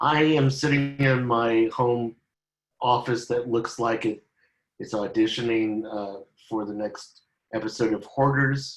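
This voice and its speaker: Here is a man at a medium pitch. His intonation stays fairly even. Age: 60s. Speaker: film director. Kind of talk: panel discussion. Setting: video call from home office. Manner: halting.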